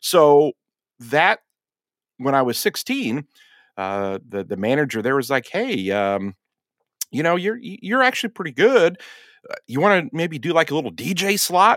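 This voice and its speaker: At a moderate pace and in a Midwestern American accent, the voice swings very widely in pitch, with long, frequent pauses. The recording is very clean, with a silent background and a dry, close sound with no echo. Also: man, fairly high pitch for a man. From western Indiana. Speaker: TV meteorologist. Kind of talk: interview conversation. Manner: animated.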